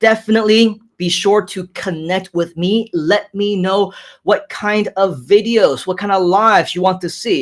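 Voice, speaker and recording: A man with an American accent speaks in a high voice. His pace is fairly slow and his tone is animated. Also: very clean recording, silent background. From grew up in the US, Hong Kong-born. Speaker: online marketing entrepreneur, live streamer. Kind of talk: live stream chat reading comments.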